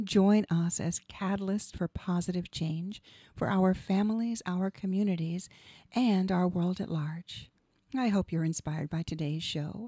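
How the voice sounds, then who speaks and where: A woman speaks at a fairly slow pace in a medium pitch, her voice somewhat breathy with a dark, mellow tone. The sound is dry with no echo, and the background is quiet. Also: ordinary pitch variation. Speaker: radio show host and hypnotherapist; radio show host. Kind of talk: scripted monologue. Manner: polished, rehearsed. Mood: calm, warm, inspirational. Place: studio. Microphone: studio mic.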